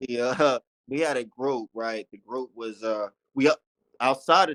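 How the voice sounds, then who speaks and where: Speaking with an American accent, a man keeps his intonation fairly even at medium pitch. The sound is dry and close, with no echo. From Las Vegas, Nevada, US. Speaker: rapper. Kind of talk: interview. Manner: halting.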